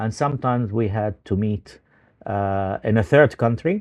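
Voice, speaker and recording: A man with an Arabic accent, fairly low pitch and moderate pace. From Palestine, Ramallah. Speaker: journalist. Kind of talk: interview. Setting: video call. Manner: hesitant, many fillers.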